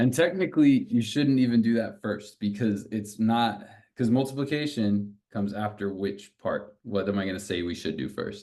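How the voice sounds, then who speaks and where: At a moderate pace, a man speaks in a normal speaking voice with a fairly low pitch and ordinary pitch variation. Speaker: math tutor. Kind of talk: tutoring session. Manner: casual, encouraging.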